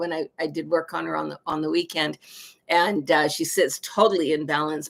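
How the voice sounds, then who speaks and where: A woman's fairly low voice carries vocal fry as she talks at a fairly quick pace. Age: 60s. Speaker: shamanic practitioner and teacher. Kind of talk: live psychic reading stream; casual monologue. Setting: livestream. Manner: casual, hesitant with many fillers.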